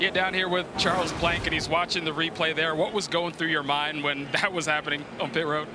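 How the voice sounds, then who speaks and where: A man's fairly high, monotone voice with flat intonation, very even loudness and a fairly quick pace over noticeable background noise. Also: hardly any pauses. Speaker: pit road reporter. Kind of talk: race broadcast reporting.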